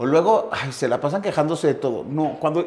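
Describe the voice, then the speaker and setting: A man's normal speaking voice at a fairly high pitch, fairly quick, with ordinary pitch variation. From northern Mexico, Chihuahua. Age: 50s. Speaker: theatre producer and TV host. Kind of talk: casual interview chat.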